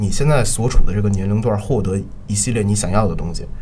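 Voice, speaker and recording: Noticeable background noise sits under this clip. A man talks with lively intonation. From Beijing. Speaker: theatre photographer. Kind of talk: casual interview.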